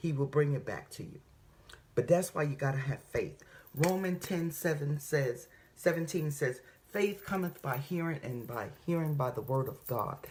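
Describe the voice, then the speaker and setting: With a very deep, low pitch and a somewhat breathy sound, a woman speaks at a moderate pace in an animated tone, with ordinary pitch variation. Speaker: faith vlogger. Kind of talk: inspirational talk.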